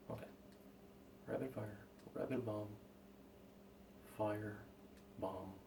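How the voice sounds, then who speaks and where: There is noticeable background noise and audible room echo as a man speaks at a fairly low pitch with ordinary pitch variation. He goes at a fairly slow pace with long, frequent pauses. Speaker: gaming streamer. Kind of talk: casual gameplay commentary. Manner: loud.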